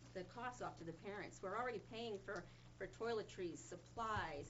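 Light background noise behind a woman talking at a moderate pace. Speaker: parent giving public comment. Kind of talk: public comment speech. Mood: concerned, firm. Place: meeting room. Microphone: camera far.

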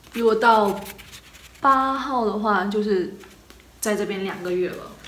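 A woman speaks in an animated tone at a medium pitch, with audible room echo around her. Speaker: travel vlogger. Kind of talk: casual vlog monologue. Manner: animated, chatty. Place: home room. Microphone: phone near.

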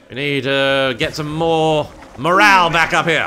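Fairly slow speech from a man, lively in intonation, over noticeable background noise. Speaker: let's play gamer. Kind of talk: let's play game commentary. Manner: friendly, polite.

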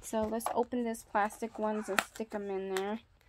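A woman with an American accent, fairly high pitch and monotone, flat intonation, amid noticeable background noise. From California. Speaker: YouTuber. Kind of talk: casual tutorial vlog. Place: home room. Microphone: phone near.

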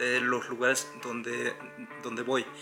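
Clear music plays in the background. A man speaks at a medium pitch. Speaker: travel vlogger. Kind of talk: casual talk to camera. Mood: calm, earnest. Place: home room. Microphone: phone near.

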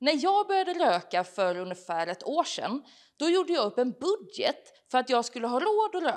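With a Gothenburg accent, a woman speaks in very wide pitch swings against a quiet background. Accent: Gothenburg Swedish. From Biskopsgården, Gothenburg. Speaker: comedian. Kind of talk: stand-up. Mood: deadpan humorous. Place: hall.

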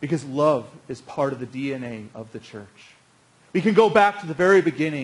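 A man speaks at a moderate pace with ordinary pitch variation. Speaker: pastor. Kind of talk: sermon. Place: church.

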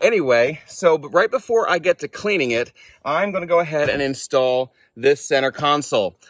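Over a quiet background, a man talks at a fairly quick pace. His tone is bright and sharp, and the sound is dry with no echo. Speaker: car rebuild vlogger. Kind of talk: casual vlog chat. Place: open country. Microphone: lapel.

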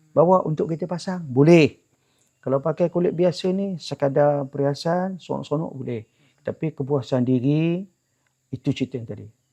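A man with a dark, mellow tone talks at a moderate pace and a fairly high pitch, with ordinary pitch variation and a dry, close sound with no echo. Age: 70s. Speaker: traditional drum maker. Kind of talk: interview.

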